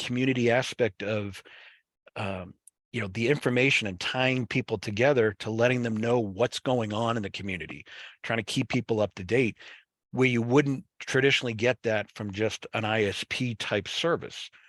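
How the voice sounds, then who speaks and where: Against a quiet background, a man with a Boston accent talks at a medium pitch and a moderate pace with ordinary pitch variation, the sound dry and close with no echo. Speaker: webinar presenter on fiber networks. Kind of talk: webinar presentation. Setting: online webinar. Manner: casual, many fillers and restarts.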